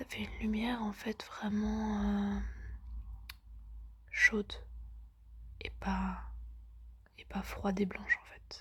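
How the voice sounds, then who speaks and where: Long, frequent pauses and big swings in loudness mark a woman's very slow speech. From lives in a country abroad, not France. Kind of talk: ASMR pillow talk to camera. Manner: soft-spoken, casual, chatty.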